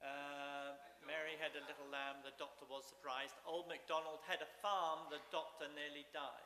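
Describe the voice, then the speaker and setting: A fairly high-pitched man at a moderate pace, monotone and flat, with hardly any pauses and audible room echo. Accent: English. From England. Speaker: seminary dean and president. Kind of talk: lecture.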